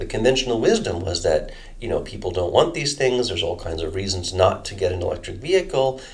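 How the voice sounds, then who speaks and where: A man moves through his words at a fairly quick pace in an American accent. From United States. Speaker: energy modeling researcher. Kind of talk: interview. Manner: halting, many fillers and restarts.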